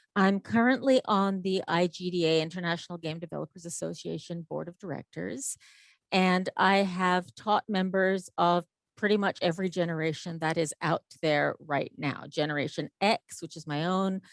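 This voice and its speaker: With an ordinary speaking voice, a woman talks at a fairly low pitch and a moderate pace. Her pitch varies in an ordinary way, and the sound is dry and close with no echo. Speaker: game development lecturer. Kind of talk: conference talk.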